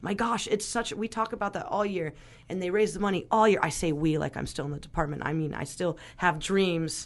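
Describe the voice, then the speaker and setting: A plain, everyday voice with an American accent speaks at a fairly quick pace, its pitch moving in an ordinary way over a quiet background. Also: woman, medium pitch for a woman. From Northern California, Sonoma County. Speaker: radio host, drummer and restaurant worker. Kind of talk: casual interview chat. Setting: radio studio.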